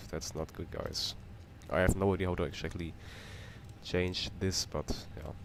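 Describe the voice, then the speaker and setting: Very deep, low pitch from a man with a German accent, at a moderate pace with fairly even intonation and long, frequent pauses. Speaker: flight sim streamer. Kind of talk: live stream commentary. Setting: home flight simulator stream. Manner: casual, repetitive, halting.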